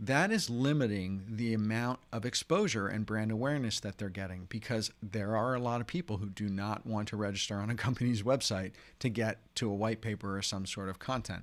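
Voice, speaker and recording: An unremarkable speaking voice from a man, fairly low in pitch with ordinary pitch variation, moves at a fairly quick pace with hardly any pauses. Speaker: branding coach. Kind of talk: webinar masterclass.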